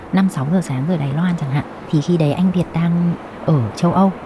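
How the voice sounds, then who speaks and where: A woman with a fairly low pitch at a fairly quick pace, over noticeable background noise. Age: 30s. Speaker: flight attendant. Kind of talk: interview storytelling.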